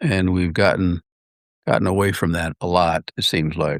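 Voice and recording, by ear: At a fairly slow pace, the fairly bright voice keeps a fairly even intonation, with a dry, close sound and no echo. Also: man.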